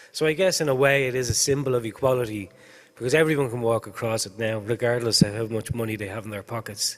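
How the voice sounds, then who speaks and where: A man with an Irish accent, medium pitch, ordinary pitch variation, a very fast pace and big swings in loudness. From Ireland. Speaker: higher education policy official. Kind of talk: conference talk. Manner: halting, many fillers.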